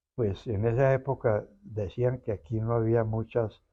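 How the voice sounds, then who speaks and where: A man with a rather deep voice talks very slowly, keeping his intonation mostly level. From Colombia, Medellín (Antioquia); born in Armenia, Quindío. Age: 80s+. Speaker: interviewee, son of an artist. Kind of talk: interview about family history. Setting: museum.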